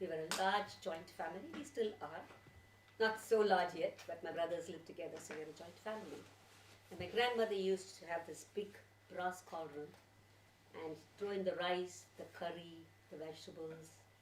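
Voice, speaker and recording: A woman speaks with a Tamil accent in a fairly low pitch, with ordinary pitch variation, at a moderate pace. Long, frequent pauses and big swings in loudness stand out, and the room echo is audible. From India, Tamil Nadu (Chennai). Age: 60s. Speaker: storyteller. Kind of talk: personal reminiscence to audience; storytelling performance.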